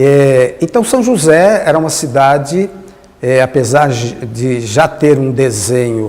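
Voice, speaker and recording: A man's medium-pitched voice with lively intonation amid noticeable background noise. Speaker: former mayor and cultural council member. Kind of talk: interview reminiscence. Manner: halting, with many fillers.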